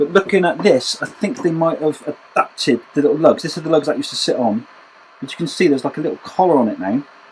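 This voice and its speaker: Someone speaks at a very fast pace in a Bristol accent. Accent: West Country (Bristol). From West Country, Bristol. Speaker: homebrewer. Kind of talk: tutorial. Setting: home brewery. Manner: casual, with fillers.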